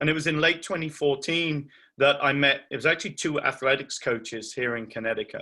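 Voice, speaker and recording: With an English accent, a man talks at a moderate pace in a bright, sharp tone with ordinary pitch variation, on a very clean recording with a silent background. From England. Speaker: charity founder, bereaved parent. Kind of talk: talk to parents.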